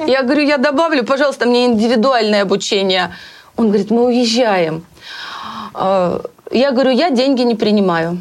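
A woman with a fairly high pitch and a plain, everyday voice speaks at a moderate pace, keeping very even loudness and lively intonation. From Russia, Bryansk. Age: 50s. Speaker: hairstylist. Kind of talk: interview.

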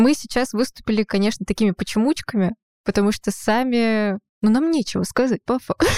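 An ordinary speaking voice from a woman, fairly quick in pace, with ordinary pitch variation and very even loudness. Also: fairly high pitch for a woman. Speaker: podcast co-host. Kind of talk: casual interview chat. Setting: studio.

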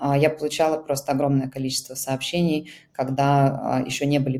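The delivery moves at a moderate pace with a dark, mellow tone. The intonation stays monotone and flat. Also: woman. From Russia. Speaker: founder of an emigrant aid project. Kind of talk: interview.

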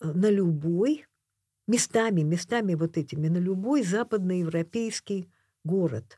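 A woman's somewhat breathy, dark, mellow voice at medium pitch carries lively intonation at a fairly slow pace. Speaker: painter and author. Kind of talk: casual interview conversation. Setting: radio studio.

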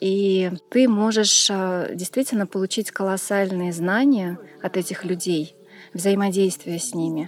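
Over noticeable background noise, a woman talks at a very slow pace with fairly even intonation. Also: medium pitch for a woman. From Tashkent, Uzbekistan. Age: 40s. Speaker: hatha yoga teacher. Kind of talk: interview about yoga tours.

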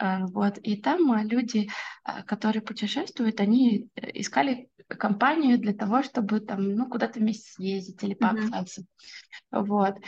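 Somewhat breathy, a woman speaks at a fairly slow pace, leaving long, frequent pauses. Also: fairly high pitch for a woman, ordinary pitch variation. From Russia, Orenburg. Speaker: SMM specialist. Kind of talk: podcast interview. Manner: hesitant with filler words.

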